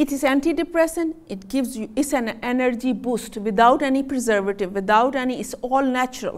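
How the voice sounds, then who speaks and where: With a non-native accent, a woman speaks at a high pitch with ordinary pitch variation. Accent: self-noted non-native. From Pakistan. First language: Punjabi. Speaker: physician. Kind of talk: health talk to audience. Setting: stage with audience. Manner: animated.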